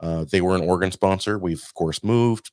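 A man's fairly low voice, with ordinary pitch variation, comes through a very clean recording against a silent background. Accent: American. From Oregon, US Pacific Northwest. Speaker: podcast producer and podcaster. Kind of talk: casual chat.

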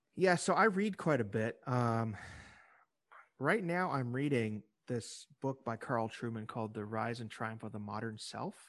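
A man with a plain, everyday voice and an American accent speaks fairly slowly against a quiet background. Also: medium pitch for a man, lively intonation. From US Midwest (Illinois). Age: 40s. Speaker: religious broadcasting executive and author. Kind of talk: interview.

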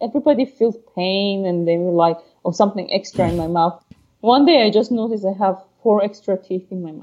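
With a Persian accent, a woman speaks at a fairly quick pace and medium pitch, with ordinary pitch variation. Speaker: podcast co-host. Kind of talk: casual chat.

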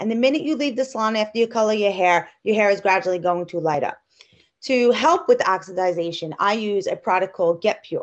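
Lively intonation runs through a woman's unremarkable speaking voice, pitched fairly high. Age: 40s. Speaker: hairstylist. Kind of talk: interview.

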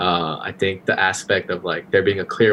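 In an unremarkable speaking voice, a man talks at a moderate pace and fairly low pitch. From Los Angeles area, California (born in Korea). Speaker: podcast guest, former co-host. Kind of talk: casual interview chat.

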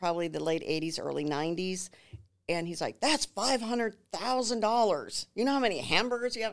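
A woman with an unremarkable speaking voice on a very clean recording, silent background. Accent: American. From Minnesota, New Ulm. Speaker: home builder sales representative. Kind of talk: casual interview chat.

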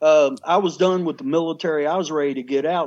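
The speaker has an American accent and fairly even intonation at a moderate pace. The background is quiet. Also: man. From Kentucky. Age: 50s. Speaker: shaman, former TV host. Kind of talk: interview, life story.

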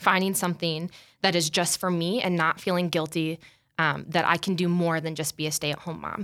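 A woman's fairly low voice with an American accent, at a fairly quick pace and fairly even intonation, in a very clean recording with a silent background. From US Midwest, South Dakota. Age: 20s. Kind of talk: casual interview chat.

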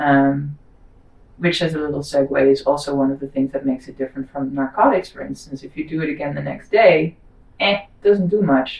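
Someone with a Dutch accent talks at a fairly quick pace, with ordinary pitch variation and big swings in loudness. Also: woman, very deep, low pitch for a woman. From Netherlands. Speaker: psychedelic guide. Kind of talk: casual chat.

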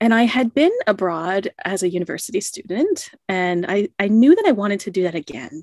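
In an ordinary speaking voice, a woman talks at a moderate pace and medium pitch with lively intonation and an American accent. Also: dry, close sound with no echo, very clean recording, silent background. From United States. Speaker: creativity coach. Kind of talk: interview.

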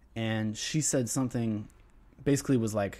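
At a fairly slow pace, a man with a medium pitch speaks with an American accent in a very clean recording with a silent background. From US South, near the East Coast. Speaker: jazz pianist and composer. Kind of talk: casual interview.

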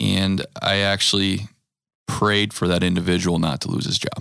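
With an American accent, a man talks at a moderate pace in a very deep, low voice with vocal fry and ordinary pitch variation. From US Midwest, Wisconsin (Green Bay area). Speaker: churchgoer, father of five. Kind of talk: casual chat.

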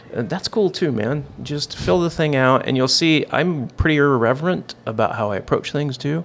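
Amid noticeable background noise, a man with an American accent talks at a moderate pace with lively intonation and hardly any pauses. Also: fairly high pitch for a man. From Idaho, US. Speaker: chef and LED business owner. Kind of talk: casual chat.

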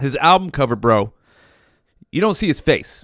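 A man with an American accent speaks at a moderate pace in an animated tone, his medium-pitched voice sounding dry and close with no echo on a very clean recording with a silent background. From Modesto, California. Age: 40s. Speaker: podcast host. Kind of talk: casual monologue. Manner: halting.

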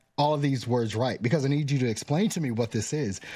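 A man with a fairly high pitch speaks in an animated tone that is somewhat breathy. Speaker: podcast host. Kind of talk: casual interview chat. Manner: animated, laughs often.

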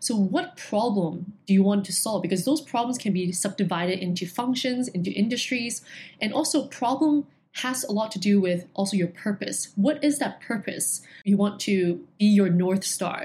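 This woman has a dark, mellow tone that is somewhat breathy. Her intonation is lively. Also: medium pitch for a woman, moderate pace. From Hong Kong. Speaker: education entrepreneur. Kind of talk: interview.

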